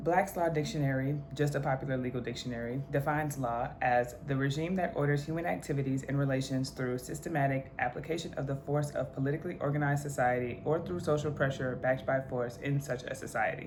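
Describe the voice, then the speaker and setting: A woman with a very deep, low pitch talks at a very fast pace with hardly any pauses and fairly even intonation. Audible room echo and noticeable background noise come through. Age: 20s. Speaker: law student and history content creator. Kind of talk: educational video monologue. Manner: casual, conversational; reading definitions aloud.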